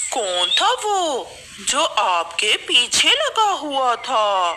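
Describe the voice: A cartoonish character voice is pitched high and delivered at a very slow pace. Clear background noise can be heard.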